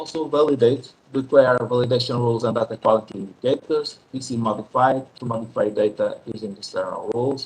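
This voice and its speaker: The voice is somewhat breathy and the delivery moves at a moderate pace. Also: man. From Portugal. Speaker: statistician presenter. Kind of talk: conference presentation. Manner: quiet; halting.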